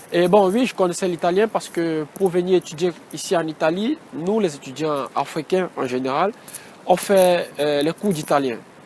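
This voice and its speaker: A man talks with a Cameroonian accent at a moderate pace. His pitch is high, with ordinary variation. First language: Batoufam (speaking French). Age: 20s. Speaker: engineering student. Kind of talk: interview. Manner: halting.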